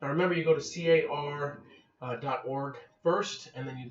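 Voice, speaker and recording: Noticeable background noise behind a man with a fairly high pitch and ordinary pitch variation. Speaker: real estate trainer. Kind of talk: tutorial. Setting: home office. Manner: casual.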